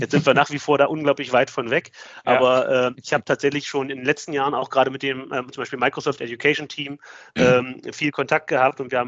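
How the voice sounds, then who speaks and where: A man's flat, monotone voice at a very fast pace. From Magdeburg, eastern Germany. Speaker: IT company founder. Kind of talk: interview. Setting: video call. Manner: hesitant, many fillers.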